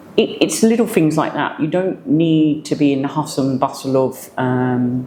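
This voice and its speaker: Noticeable background noise is present throughout. The delivery keeps a moderate pace. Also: woman. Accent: English. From England. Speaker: business owner. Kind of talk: interview. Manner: halting.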